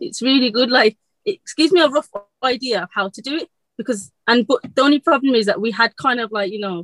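A woman's strong Birmingham accent at a fairly quick pace, with ordinary pitch variation. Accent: Birmingham (Brummie), very strong. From Birmingham, England. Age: 20s. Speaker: electrician apprentice. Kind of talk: casual interview chat. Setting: video call. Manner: fast talker.

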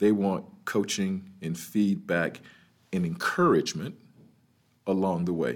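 This man talks with an American accent in a fairly low pitch, using fairly even intonation and long, frequent pauses. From US South, Birmingham, Alabama. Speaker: HR executive and author. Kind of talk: interview. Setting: live at a conference venue.

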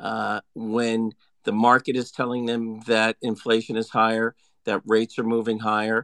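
Medium-pitched, monotone male speech at a moderate pace, flat in intonation, dry and close with no echo, in a very clean recording with a silent background. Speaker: credit market analyst. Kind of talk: market commentary.

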